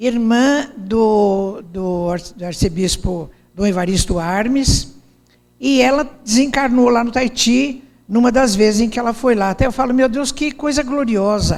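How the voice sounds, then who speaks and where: A woman speaks at a fairly slow pace in a fairly high pitch with ordinary pitch variation. Audible room echo surrounds her voice. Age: 70s. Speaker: speaker. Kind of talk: lecture. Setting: stage with audience.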